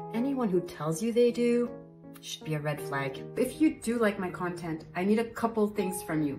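Over clear music in the background, a woman talks at a moderate pace in a medium pitch with lively intonation. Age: 50s. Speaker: podcast host. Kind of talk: promotional monologue.

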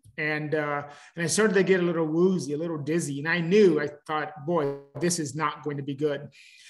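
Light background noise sits behind a man speaking at a fairly quick pace with fairly even intonation. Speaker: interview guest. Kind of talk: interview answer. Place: home room. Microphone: video call.

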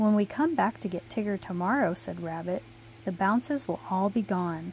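A somewhat breathy woman at a moderate pace, dry sound with no echo, light background noise. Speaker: reader of a children's book. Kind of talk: storybook read-aloud. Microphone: phone near.

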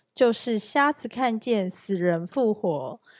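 In a very clean recording with a silent background and a dry, close sound with no echo, a woman speaks very slowly with lively intonation. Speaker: scripture reader. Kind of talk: reading aloud. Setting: church.

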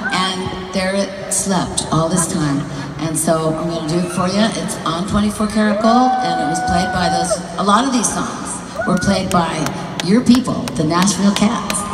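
With music in the background and an audible room echo, the speech moves at a moderate pace with ordinary pitch variation. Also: woman. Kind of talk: onstage storytelling. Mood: warm, playful. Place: stage.

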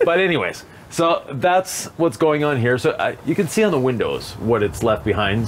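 Against light background noise, a man talks with very wide pitch swings. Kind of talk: interview answer. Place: street.

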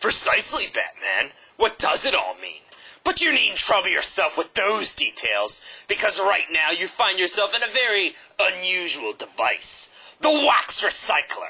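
At a moderate pace, a man talks with a high pitch for a man. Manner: gloating, theatrical.

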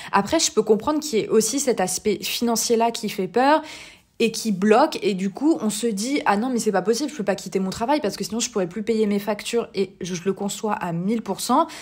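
Fairly high pitch from a woman, moderate pace, ordinary pitch variation. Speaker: podcast host and life coach. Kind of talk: casual monologue with advice. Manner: hesitant with many fillers.

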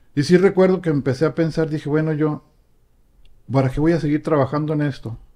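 A man with a Mexican accent talks at a fairly quick pace in a fairly high, dark, mellow voice, pausing long and often. His intonation is fairly even, and the background is quiet. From Mexico. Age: 50s. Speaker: recovered addict; guest. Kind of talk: testimony. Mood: reflective, calm. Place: home room. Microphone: studio mic.

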